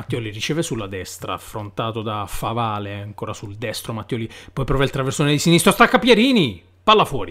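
A man's medium-pitched voice, bright and sharp in tone, at a fairly quick pace with big swings in loudness and lively intonation. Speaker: football commentator. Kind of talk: live sports commentary. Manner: fast, breathless, excitable; rising, exclamatory delivery on chances and goal.

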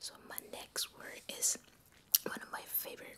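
A woman whispers at a very slow pace. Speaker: ASMR creator. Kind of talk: ASMR trigger words. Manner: whispered. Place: home room. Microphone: studio mic.

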